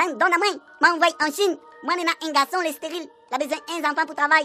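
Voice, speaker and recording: A woman in a put-on character voice at a very fast pace, with faint music in the background. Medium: audio drama. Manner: teasing, casual.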